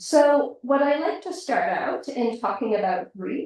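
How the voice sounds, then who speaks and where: With an American accent, a woman speaks at a fairly slow pace, her pitch swinging very widely. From US Pacific Northwest. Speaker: hospital chaplain. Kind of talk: talk to a community group. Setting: room with live audience, also streamed online. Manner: soft-spoken.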